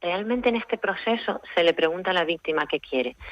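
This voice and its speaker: This woman speaks in an ordinary speaking voice at a fairly low pitch. She talks at a fairly quick pace with ordinary pitch variation. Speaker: lawyer, restorative justice specialist. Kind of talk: radio interview answer.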